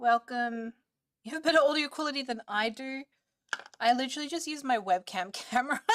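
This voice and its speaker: A woman with an Australian accent speaks at a fairly quick pace in a high voice, her pitch varying in an ordinary way and her loudness swinging widely, in a dry, close recording with no echo. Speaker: streamer. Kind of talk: casual chat.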